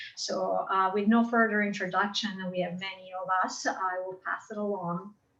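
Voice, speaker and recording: A woman with an Italian accent at a fairly slow pace, against noticeable background noise. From Italy. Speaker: architecture professor. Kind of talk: self-introduction on video call. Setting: video call.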